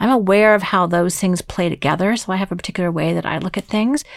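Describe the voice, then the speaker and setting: A woman is speaking. Her pace is very fast. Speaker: podcast host and team coach. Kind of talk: solo podcast monologue. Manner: animated.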